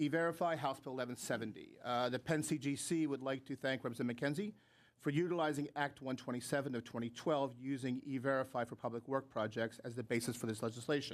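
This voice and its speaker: A man speaks at medium pitch. His pace is very fast. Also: ordinary pitch variation. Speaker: trade association executive. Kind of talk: testimony at legislative hearing. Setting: public hearing room. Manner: formal.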